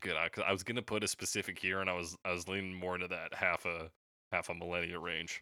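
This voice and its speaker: Very deep and low, a man's voice carries a bright, sharp tone with monotone, flat intonation. He talks at a very fast pace in a very clean recording with a silent background. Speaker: podcast host. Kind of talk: casual chat.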